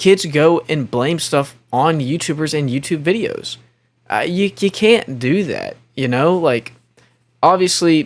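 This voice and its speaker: In a very clean recording with a silent background, a man speaks with a high pitch. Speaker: commentary YouTuber. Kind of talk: reaction commentary. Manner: stuttering and misspeaking today; casual, slangy.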